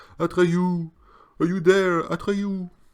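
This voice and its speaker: A resonant, high-pitched put-on character voice from a man, monotone and flat, on a very clean recording with a silent background. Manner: calling out, searching.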